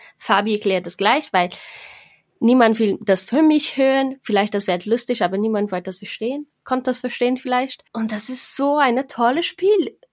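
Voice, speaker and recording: A woman speaks with a Portuguese accent at a fairly high pitch. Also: ordinary pitch variation, moderate pace. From Brazil. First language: Portuguese (speaking German). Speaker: board game podcaster. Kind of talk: casual chat. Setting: video call.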